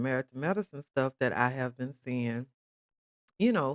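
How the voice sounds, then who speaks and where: A woman speaks in an animated tone with lively intonation. The sound is dry and close, with no echo. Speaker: commentary vlogger. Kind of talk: casual chat.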